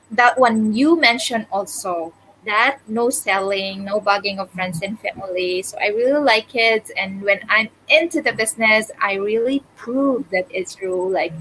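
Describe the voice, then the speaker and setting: With a Filipino accent, a woman speaks fairly slowly with hardly any pauses, her fairly high voice showing ordinary pitch variation. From Philippines, Visayas. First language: Bisaya (Cebuano). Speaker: digital business owner. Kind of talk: casual interview chat.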